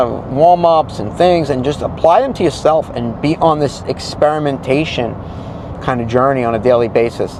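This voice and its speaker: There is noticeable background noise behind a man speaking. His pitch is medium, with ordinary pitch variation. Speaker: solo acoustic musician and vocal teacher. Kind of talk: casual vlog talk to camera.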